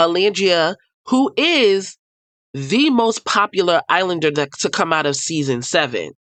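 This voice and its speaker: In a New York accent, this speaker moves at a fairly slow pace. The pitch swings very widely. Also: woman. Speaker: reality TV commentator. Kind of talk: casual commentary. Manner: animated.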